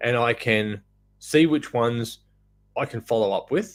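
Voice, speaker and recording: With an Australian accent, a man speaks at a medium pitch. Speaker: off-grid solar business owner. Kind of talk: live stream business advice talk. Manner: casual, filler words.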